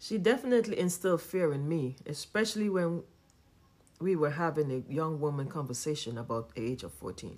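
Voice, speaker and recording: A woman speaks at a fairly quick pace with a very deep, low pitch. Her pitch swings very widely. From Trinidad and Tobago. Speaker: podcast host. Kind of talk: personal testimony, read from script.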